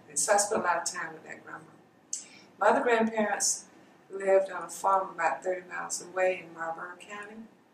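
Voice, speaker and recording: Talking at a very fast pace, a woman has an American accent and big swings in loudness. Noticeable background noise sits under her voice. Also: medium pitch for a woman, fairly even intonation. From US South, Darlington, South Carolina. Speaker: college alumna, oral history interviewee. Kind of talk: oral history interview.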